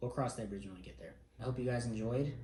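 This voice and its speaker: Audible room echo is present. It comes from a man talking. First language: not English. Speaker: air force airman and family vlogger. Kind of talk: vlog monologue. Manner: casual.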